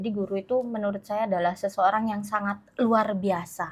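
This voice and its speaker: Speech comes at a moderate pace in a somewhat breathy voice. The recording is very clean, with a silent background. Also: woman. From Malang Regency, East Java, Indonesia (Madurese descent). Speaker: teacher. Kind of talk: interview. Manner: animated.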